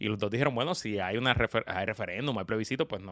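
A man's fairly low voice at a very fast pace, in a very clean recording with a silent background. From Puerto Rico, San Juan metro area. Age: 40s. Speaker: podcast co-host. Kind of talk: casual chat.

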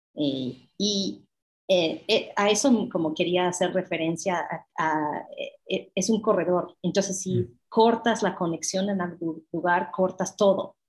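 A woman with a medium pitch and a somewhat breathy voice speaks very slowly, her pitch varying in an ordinary way. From United States. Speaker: mezcal podcaster and brand partner. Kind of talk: interview. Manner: halting.

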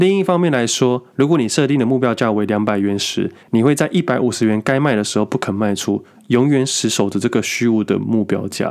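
A man with an unremarkable speaking voice talks fairly quickly at a medium pitch, with lively intonation and hardly any pauses. The recording is very clean, the background silent. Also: very even loudness. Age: 30s. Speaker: podcast host, full-time stock trader. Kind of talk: casual monologue on investing.

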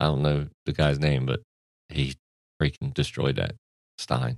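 A man speaks at a fairly quick pace with vocal fry in a very deep, low pitch. The sound is dry and close, with no echo. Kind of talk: casual banter. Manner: sarcastic, deadpan.

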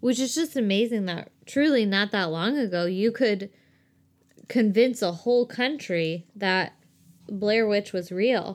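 This woman has an ordinary speaking voice at a medium pitch with ordinary pitch variation. The recording is very clean, with a silent background. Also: fairly slow pace. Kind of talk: casual chat. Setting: home recording.

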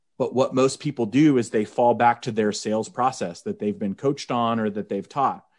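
Medium-pitched male speech with an American accent, moderate pace and ordinary pitch variation, over a quiet background. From Oklahoma. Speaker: wedding DJ and business coach. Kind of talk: casual interview. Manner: animated.

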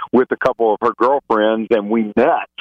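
Here is a man with a Southern US accent. His pitch is medium and his pace moderate. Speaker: reality TV alum. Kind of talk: casual interview chat.

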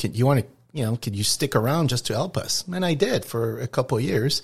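Somewhat breathy, a man speaks at a very fast pace in a Quebec accent. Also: very clean recording, silent background. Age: 60s. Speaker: trucking company owner. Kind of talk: interview. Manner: halting.

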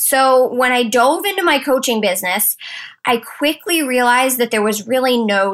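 A woman's high-pitched, animated voice with a slight Maine accent, at a moderate pace. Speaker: podcast host and business coach. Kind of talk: solo motivational podcast monologue.

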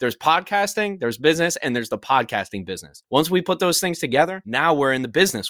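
On a very clean recording with a silent background and a dry, close sound with no echo, a man talks at a very fast pace with fairly high pitch, very wide pitch swings, vocal fry and a bright, sharp tone. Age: 20s. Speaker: rapper and podcast producer. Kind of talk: casual chat.

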